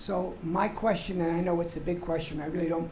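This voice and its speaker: Noticeable background noise behind a fairly quick delivery. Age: 80s+. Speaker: audience member. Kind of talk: audience question.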